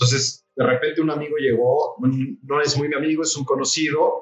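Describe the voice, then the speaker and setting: A man speaks with a Mexico City accent. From Mexico City (Coyoacán). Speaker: chef and coffee roaster. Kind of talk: casual interview.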